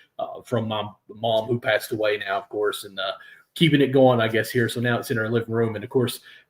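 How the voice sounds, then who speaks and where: Talking at a fairly quick pace, a man with a Kentucky accent keeps his intonation fairly even. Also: medium pitch for a man. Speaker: sports podcast host. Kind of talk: casual chat. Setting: live stream.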